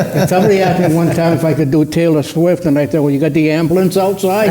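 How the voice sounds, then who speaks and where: In an American accent, a man with a fairly high pitch keeps his intonation fairly even over noticeable background noise. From central Massachusetts. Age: 80s+. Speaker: retired musician, panelist. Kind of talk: seminar panel chat.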